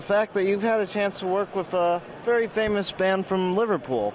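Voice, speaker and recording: A high-voiced man talks at a moderate pace against noticeable background noise. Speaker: interviewer. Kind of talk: interview questions.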